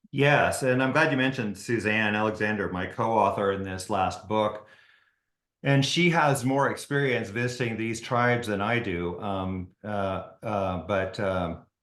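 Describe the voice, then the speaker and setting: There is audible room echo around a man with a fairly low pitch. His delivery is fairly slow, with ordinary pitch variation. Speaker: ophthalmologist and author. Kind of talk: interview. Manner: halting, many fillers and restarts.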